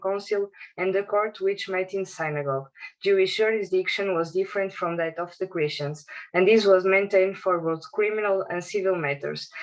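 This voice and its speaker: A woman in a Portuguese accent speaks at a medium pitch and moderate pace with fairly even intonation. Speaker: academic researcher. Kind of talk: conference presentation.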